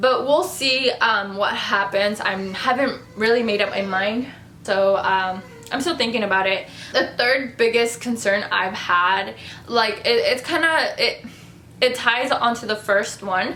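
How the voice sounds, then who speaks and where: Against noticeable background noise and audible room echo, a woman talks at a fairly slow pace in a fairly high voice with ordinary pitch variation. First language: not English. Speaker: beauty vlogger. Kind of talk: casual vlog talk to camera. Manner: halting, gets tongue-tied.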